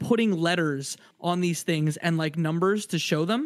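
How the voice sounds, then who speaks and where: The speaker has a Canadian accent. The pace is moderate, with ordinary pitch variation. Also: man. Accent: Canadian, close to Detroit American. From Windsor, Ontario, Canada. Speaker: podcaster guest. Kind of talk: casual chat.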